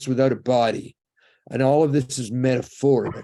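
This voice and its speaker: A man's dark, mellow voice with a slight Canadian accent at a moderate pace. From Canada. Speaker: rabbi and lecturer on the afterlife. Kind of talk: lecture.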